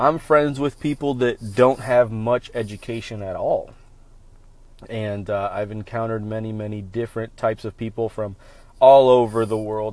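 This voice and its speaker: An unremarkable speaking voice belongs to a man with an American accent, pitched fairly low and moving at a moderate pace. His intonation is fairly even, over a quiet background. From Central Florida. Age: 30s. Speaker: podcast host. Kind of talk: solo podcast monologue.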